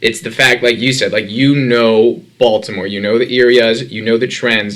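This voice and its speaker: A man with a normal speaking voice and an American accent, medium in pitch, at a moderate pace with ordinary pitch variation. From Brooklyn, New York. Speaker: podcast host, real estate broker. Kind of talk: interview.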